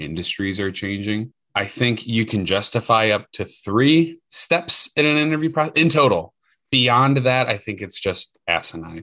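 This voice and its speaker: A man with an American accent talks at a fairly slow pace in a bright, sharp tone. His pitch swings very widely against a quiet background. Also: medium pitch for a man. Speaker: corporate recruiter. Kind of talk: interview conversation. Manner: animated.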